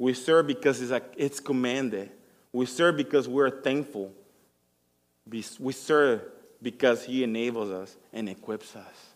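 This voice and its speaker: A man speaks in a non-native accent at a medium pitch, fairly slowly, with ordinary pitch variation. His loudness swings widely, and he leaves long, frequent pauses. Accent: noticeable foreign. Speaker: church musician giving sermon. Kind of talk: sermon. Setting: church. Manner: halting.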